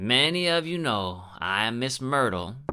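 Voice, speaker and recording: Putting on a gruff character voice, a man talks at a moderate pace. His medium pitch makes very wide swings. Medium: read story. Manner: gruff, domineering, blunt.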